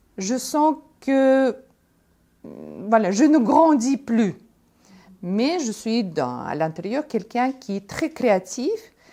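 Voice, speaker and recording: Very slowly and with long, frequent pauses, a woman speaks in a high pitch with lively intonation and a dark, mellow tone, on a very clean recording with a silent background. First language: Russian (speaking French). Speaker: entrepreneur. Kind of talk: testimony. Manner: halting.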